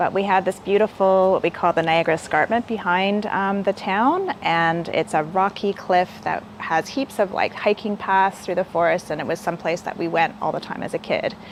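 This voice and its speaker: A woman with a Canadian accent speaks at a medium pitch and a moderate pace, her intonation fairly even and her speech carrying hardly any pauses over noticeable background noise. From Canada, Hamilton, Ontario. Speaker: local government sustainability officer. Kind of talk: interview. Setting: live stream.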